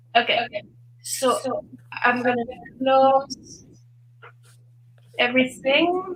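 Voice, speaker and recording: Very slowly and with long, frequent pauses, a woman speaks in a French accent at high pitch with ordinary pitch variation. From Switzerland. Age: 60s. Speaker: fitness expert and author. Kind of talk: interview. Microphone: echo.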